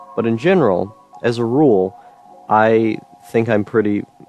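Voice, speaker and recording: Music plays in the background as a man speaks with fairly even intonation. The sound is dry and close, with no echo. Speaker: solo vlogger. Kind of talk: personal monologue. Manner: monotone; halting, many fillers.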